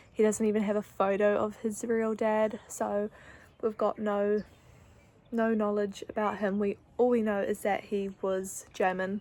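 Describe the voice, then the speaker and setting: Her intonation monotone and flat, the woman talks in a dark, mellow tone. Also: medium pitch for a woman, fairly slow pace. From New Zealand (Wellington). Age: 20s. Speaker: vlogger, kindergarten teacher. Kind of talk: casual vlog talk.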